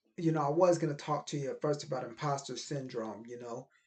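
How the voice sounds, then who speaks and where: A man talks at a moderate pace in a fairly high-pitched, somewhat breathy voice. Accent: American. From Middle Tennessee, US. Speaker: video creator, poet. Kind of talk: motivational monologue to camera.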